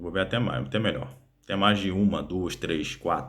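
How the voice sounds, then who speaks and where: Vocal fry runs through this man's very deep, low-pitched voice. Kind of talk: casual explainer monologue. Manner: halting, many fillers.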